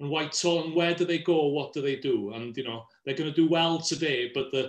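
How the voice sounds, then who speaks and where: Someone speaks with a Welsh accent and fairly even intonation. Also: man. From Wales. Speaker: politics professor. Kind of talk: panel discussion. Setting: live online video call.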